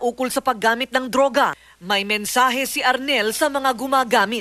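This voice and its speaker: Music plays in the background as a woman talks. Her pitch is fairly high with ordinary variation. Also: dry, close sound with no echo. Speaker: TV news correspondent. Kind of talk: TV news report narration.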